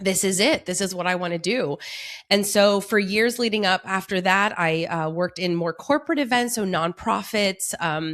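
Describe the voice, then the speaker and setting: Ordinary pitch variation and a moderate pace in a woman's voice of medium pitch. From Montreal, Canada. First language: French. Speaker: wedding planner, business owner. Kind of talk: podcast interview.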